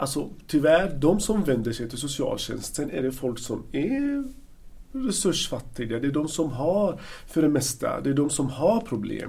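With an Arabic accent, a man speaks at a fairly slow pace in a fairly high pitch, his dark, mellow tone carrying lively intonation amid audible room echo. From Palestine, Gaza Strip. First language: Arabic (speaking Swedish). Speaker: social worker. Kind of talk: interview. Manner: halting.

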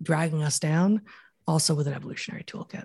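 A woman's very deep, low voice, somewhat breathy and dark and mellow in tone, in a dry, close sound with no echo. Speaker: evolutionary biologist and author. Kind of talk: interview conversation.

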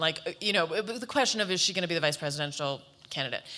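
Over noticeable background noise, a woman talks very fast with lively intonation. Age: 40s. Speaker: author and panelist. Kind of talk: panel discussion.

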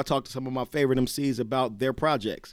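An ordinary speaking voice, a man with an American accent at a medium pitch. He talks at a fairly quick pace on a very clean recording with a silent background. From Cincinnati, Ohio. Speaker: podcast host, rapper. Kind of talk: casual chat.

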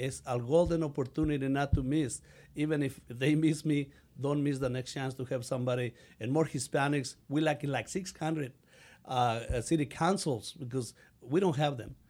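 A man's fairly high voice in a Mexican accent, moderately paced with fairly even intonation, on a very clean recording against a silent background. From Mexico. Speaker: city council candidate. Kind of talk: interview answers. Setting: studio. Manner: halting, broken English when emotional.

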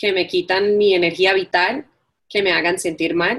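A woman with an English accent. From New York. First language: English (speaking Spanish). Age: 40s. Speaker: entrepreneur and life coach. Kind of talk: interview.

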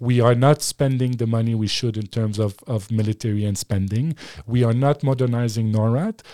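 With a French accent, a man speaks at a moderate pace and medium pitch, in a dark, mellow tone with fairly even intonation and a dry, close sound with no echo. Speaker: former political advisor and media analyst. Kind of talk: casual interview. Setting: studio.

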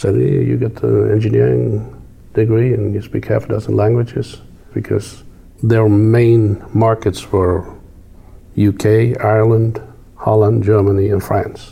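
At a fairly slow pace, a man speaks in a fairly low pitch with ordinary pitch variation. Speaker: farm equipment company executive. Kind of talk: casual interview.

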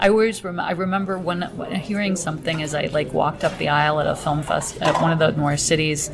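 Very fast speech with hardly any pauses, fairly even intonation, and noticeable background noise. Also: woman, very deep, low pitch for a woman. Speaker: film writer and festival attendee. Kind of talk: casual interview. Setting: recorded in a theater mezzanine with background noise.

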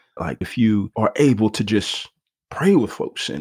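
A man talks at a moderate pace with lively intonation in a plain, everyday voice. The sound is dry and close, with no echo. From US, Nigerian immigrant family. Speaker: pastor. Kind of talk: casual interview.

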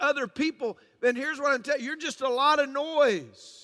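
A man projects a raised voice at an extremely high pitch with a bright, sharp tone. His intonation is fairly even, and the sound is dry and close with no echo. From US South, Georgia. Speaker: pastor. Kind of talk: sermon.

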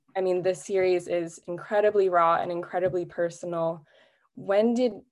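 A woman talks at a fairly low pitch. The recording is very clean, with a silent background. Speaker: podcast interviewer. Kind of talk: casual interview conversation.

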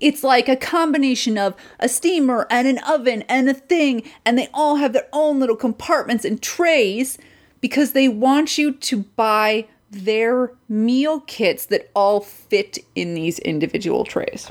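A woman speaks loudly at a fairly slow pace, her high-pitched voice animated and full of lively intonation. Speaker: podcast co-host. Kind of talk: casual chat reviewing TV. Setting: home recording. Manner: animated, frequent laughing and swearing.

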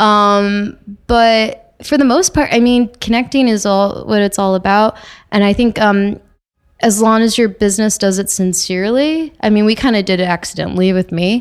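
At a moderate pace and with a slight Canadian accent, the speaker keeps very even loudness and ordinary pitch variation on a very clean recording with a silent background. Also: woman, medium pitch for a woman. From Toronto, Canada. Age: 20s. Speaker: record store worker and music and film reporter. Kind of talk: casual interview chat. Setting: podcast recorded and streamed live. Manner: chatty.

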